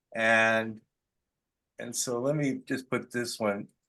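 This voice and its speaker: Against a quiet background, a man with a medium pitch speaks in a bright, sharp tone with monotone, flat intonation. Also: long, frequent pauses. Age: 60s. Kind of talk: casual chat. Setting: video call.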